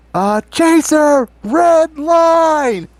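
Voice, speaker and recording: A put-on character voice shouts at a high pitch. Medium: actual play. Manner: shouting.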